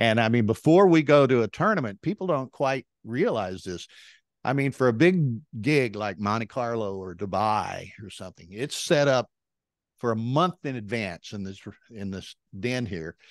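A man with a Texan accent speaks at a moderate pace with lively intonation and big swings in loudness, his voice dry with no echo over a quiet background. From Texas, Beaumont; Texas. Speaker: backgammon tournament director and commentator; commentator. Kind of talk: casual interview. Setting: video call. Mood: friendly, relaxed storytelling. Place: home room. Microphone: handheld.

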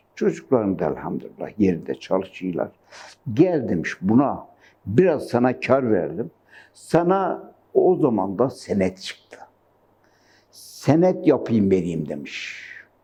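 At a very slow pace, a man speaks in a medium pitch with a dark, mellow tone, vocal fry and very wide pitch swings. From Gaziantep, Turkey. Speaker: retired yarn maker and weaver. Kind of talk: oral history interview answer.

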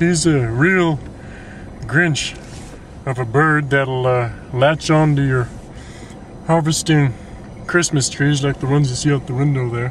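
The speech moves at a moderate pace with a dry sound with no echo and light background noise. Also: man. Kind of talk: mockumentary interview monologue. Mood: frustrated, complaining. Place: car.

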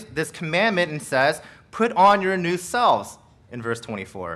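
The speaker is a man with a bright, sharp tone. He keeps to a moderate pace. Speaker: pastor. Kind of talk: sermon. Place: church. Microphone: podium.

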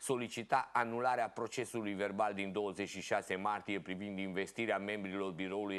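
Behind speech at a moderate pace, the background stays quiet. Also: man. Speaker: local TV show host. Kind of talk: reading news articles aloud. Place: studio.

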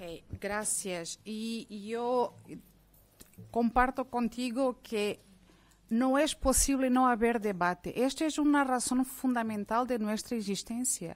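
In a Portuguese accent, a woman speaks at a very slow pace with a high pitch. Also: ordinary pitch variation. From Mozambique. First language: Portuguese (speaking Spanish). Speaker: academic; speaker. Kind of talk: panel debate. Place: meeting room. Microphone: podium.

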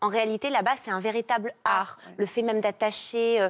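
At a fairly slow pace, a woman talks in an unremarkable speaking voice with a fairly high pitch against a quiet background. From Marseille, southern France. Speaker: TV personality; talk show guest. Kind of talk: casual TV chat. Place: studio. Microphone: lapel.

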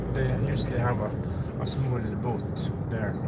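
A man keeps a moderate pace while loud background noise is heard. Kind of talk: casual vlog chat. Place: car. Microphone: phone near.

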